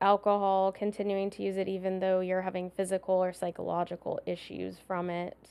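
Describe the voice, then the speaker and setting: A woman speaks at a medium pitch in a monotone, flat delivery with a Californian accent. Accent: Californian American. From San Diego, California. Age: 30s. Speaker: psychologist. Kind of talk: casual chat.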